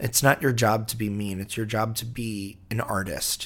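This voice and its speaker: A man at fairly low pitch, monotone and flat, at a fairly slow pace, in a very clean recording with a silent background. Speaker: podcast host. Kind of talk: monologue intro.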